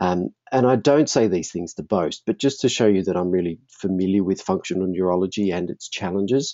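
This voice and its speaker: A man with an Australian accent talks at a fairly quick pace with hardly any pauses. His pitch is very deep and low, with ordinary variation. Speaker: functional neurologist and marketing presenter. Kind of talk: webinar presentation. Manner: fast.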